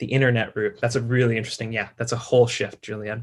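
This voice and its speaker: A man speaks very fast with an American accent, his medium pitch held in a monotone, flat intonation. His voice is somewhat breathy. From US, New York area. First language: Russian. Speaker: science communication specialist. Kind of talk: talk to an audience. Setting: video call. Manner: many fillers (um, uh).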